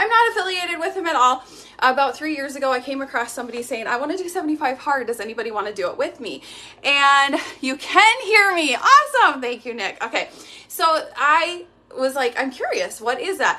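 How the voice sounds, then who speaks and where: A woman with a raised, projected voice and a bright, sharp tone speaks at a fairly quick pace and high pitch, with very wide pitch swings. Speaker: activewear seller and fitness instructor. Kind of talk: live stream chat. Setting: live video stream. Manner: fast; animated.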